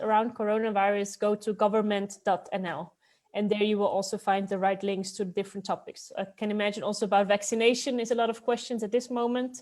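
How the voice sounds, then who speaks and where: A woman with a Dutch accent, fairly quick and fairly even in intonation, with hardly any pauses. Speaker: city expat support advisor. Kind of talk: informational webinar talk.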